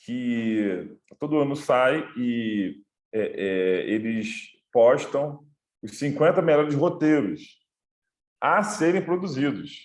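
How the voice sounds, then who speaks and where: Lively intonation marks this man's fairly high-pitched voice, over a quiet background. He goes at a very slow pace with long, frequent pauses. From Rio de Janeiro, Brazil. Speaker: film director and screenwriter. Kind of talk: online talk / lecture. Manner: halting, many fillers.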